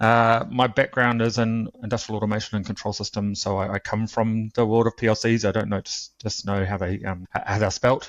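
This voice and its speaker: Fairly quick, hardly any pauses, a man's fairly low pitch in a New Zealand accent, monotone and flat in intonation, over a quiet background. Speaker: cybersecurity instructor. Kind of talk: interview. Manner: halting, many fillers.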